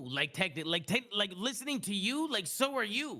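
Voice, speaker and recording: Raising and projecting his voice, a man talks in a bright, sharp, animated tone with very wide pitch swings. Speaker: streamer and esports personality. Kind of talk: casual chat. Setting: live stream. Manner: loud; fast, animated.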